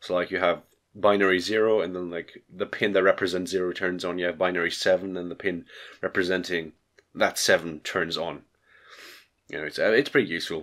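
In a very clean recording with a silent background, a man talks at a very fast pace in a very deep, low pitch with a nasal sound. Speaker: electronics hobbyist. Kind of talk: casual tutorial talk to camera. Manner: hesitant, filler-heavy.

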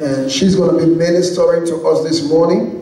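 Speaking at a moderate pace, a man with a high voice for a man is heard with audible room echo. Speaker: speaker. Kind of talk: sermon. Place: church.

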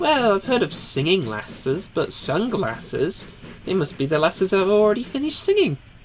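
Someone in a put-on character voice talks at a fairly quick pace and middle pitch over clear background noise. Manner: scatterbrained, excitable.

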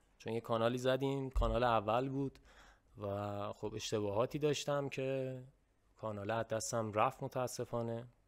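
Against a quiet background, a man speaks at a moderate pace with monotone, flat intonation. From Iran. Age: young. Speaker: YouTuber. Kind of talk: casual chat. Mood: earnest, reflective. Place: home room. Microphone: studio mic.

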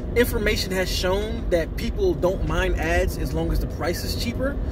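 Music in the background, with a dry sound and no echo. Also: man. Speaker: film vlogger. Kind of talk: casual vlog commentary. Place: car. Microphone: phone near.

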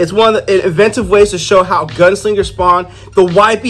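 The text is read aloud plainly. Fairly even intonation carries it.

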